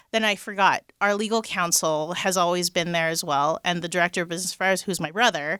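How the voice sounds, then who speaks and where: In an American accent, the voice rushes at a very fast pace with hardly any pauses, a bright, sharp tone and fairly even intonation, on a very clean recording with a silent background and a dry, close sound with no echo. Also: woman, fairly low pitch for a woman. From Los Angeles, San Fernando Valley. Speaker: talent management company founder. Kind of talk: casual interview.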